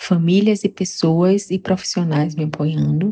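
A woman speaks at a moderate pace in a fairly low pitch with fairly even intonation. Her tone is dark and mellow, and somewhat breathy. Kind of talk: personal testimony interview.

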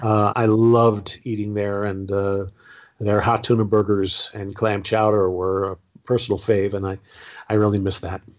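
Over a quiet background, a man with an American accent speaks at a moderate pace in a fairly low pitch, his intonation monotone and flat. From Southern California. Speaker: former theme park performer and author. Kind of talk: interview.

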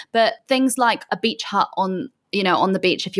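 A woman with a southwest England accent, a fairly high pitch, and a moderate pace. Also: dry, close sound with no echo, very clean recording, silent background. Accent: British English, southwest England. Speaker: digital nomad. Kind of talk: casual interview chat.

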